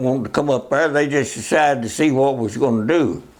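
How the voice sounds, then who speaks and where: A man's fairly high voice with ordinary pitch variation and a Southern US accent, over noticeable background noise. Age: 80s+. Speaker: war veteran. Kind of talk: interview answer.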